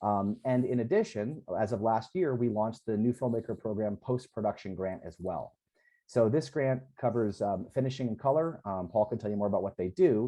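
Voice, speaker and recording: Pitched in the medium range, a man talks with ordinary pitch variation. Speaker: film company program head, former producer. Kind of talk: panel presentation. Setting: video call with screen share. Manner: fast.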